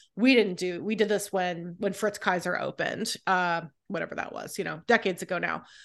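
A woman talks at a fairly quick pace with hardly any pauses, her pitch medium and her intonation fairly even. It is an unremarkable speaking voice over a quiet background. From California and North Carolina, US. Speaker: food writer. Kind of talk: casual chat.

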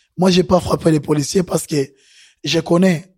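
The man's voice sits high in pitch. His intonation stays fairly even. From Burundi. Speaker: asylum seeker. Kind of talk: testimony. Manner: halting.

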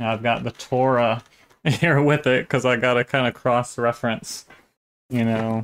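A man speaks in a normal speaking voice at a moderate pace and medium pitch, with fairly even intonation. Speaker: online video channel host. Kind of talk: casual commentary and reaction.

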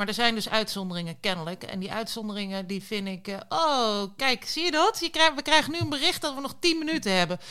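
A woman's bright, sharp, fairly high voice moving fairly quickly through very wide pitch swings, in a very clean recording with a silent background. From rural Netherlands. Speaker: podcast co-host. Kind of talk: casual chat.

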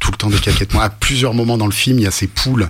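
With fairly even intonation, a man speaks as noticeable background noise continues. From France, urban upbringing. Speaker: author and rapper. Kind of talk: radio interview. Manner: halting with many repetitions.

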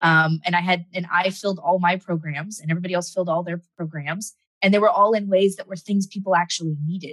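Speaking very fast with hardly any pauses, a woman keeps a fairly low pitch and fairly even intonation. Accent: American. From Southern California. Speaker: entrepreneur and business author. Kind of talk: interview conversation.

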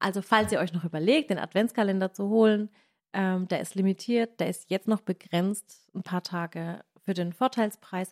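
The speaker has a Baden accent. The sound is dry and close, with no echo. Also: woman, medium pitch for a woman, ordinary pitch variation, moderate pace. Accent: Baden dialect, noticeable. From Baden, southwestern Germany. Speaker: cooking video creator and podcast host. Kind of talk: casual chat; sales pitch. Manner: animated.

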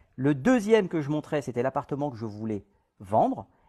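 This man's voice swings very widely in pitch. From Guadeloupe. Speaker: real estate agent. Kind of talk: live stream Q&A.

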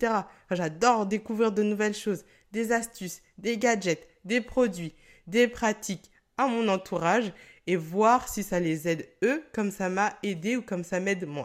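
Animated in tone, a woman speaks at a fairly slow pace and medium pitch with ordinary pitch variation. The recording is very clean, with a silent background. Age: 20s. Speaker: wellness podcast host. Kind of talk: solo podcast monologue. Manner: animated, laughing often.

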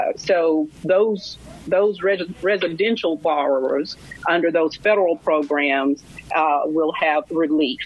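A woman with a Southern US accent, fairly low-pitched, at a very slow pace, with ordinary pitch variation, very even loudness and noticeable background noise. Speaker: lawyer, nonprofit head. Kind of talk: radio interview. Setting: remote connection.

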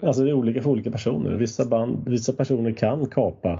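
A man talks at a fairly quick pace. His pitch is medium and shows vocal fry. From Sweden. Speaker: podcast host. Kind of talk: casual chat.

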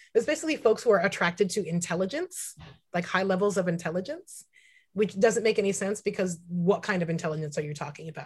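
A woman speaks with an American accent at a medium pitch. Her voice is somewhat breathy. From US West Coast, San Francisco Bay Area. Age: 30s. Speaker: tattoo artist and activist. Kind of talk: casual interview. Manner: animated.

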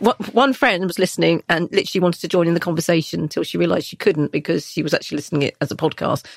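The pace is very fast, with ordinary pitch variation, vocal fry and a slightly husky edge. The sound is dry and close with no echo. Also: woman, fairly low pitch for a woman.

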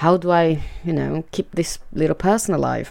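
A woman speaks with a Portuguese accent. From Brazil, Fortaleza (northeast). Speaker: mother, immigrant sharing personal story. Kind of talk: personal testimony.

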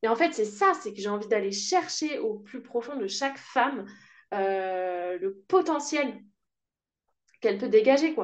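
Her pitch swinging very widely, a woman speaks at a fairly slow pace with long, frequent pauses. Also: fairly high pitch for a woman. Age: 30s. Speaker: sound therapist and voice coach. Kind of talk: casual interview.

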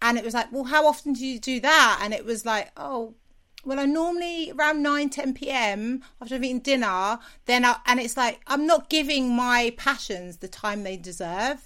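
A woman with a London accent speaks at a high pitch in a bright, sharp tone, at a moderate pace with ordinary pitch variation, on a very clean recording with a silent background. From South London. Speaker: TV and radio presenter, podcaster. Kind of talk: interview. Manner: energetic.

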